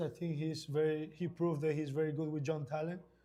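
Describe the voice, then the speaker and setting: Delivered at a moderate pace, the speech has a dark, mellow tone, a Spanish accent and monotone, flat intonation. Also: man. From Ecuador. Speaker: indoor soccer player. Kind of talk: halftime interview.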